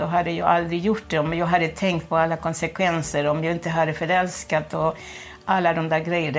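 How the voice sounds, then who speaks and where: A woman's fairly low-pitched voice moves along at a moderate pace. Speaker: former prisoner. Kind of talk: interview testimony. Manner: halting.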